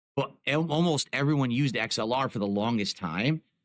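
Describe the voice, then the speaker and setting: A man at medium pitch, animated in tone, with lively intonation. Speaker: live streamer. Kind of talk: casual chat. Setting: live stream.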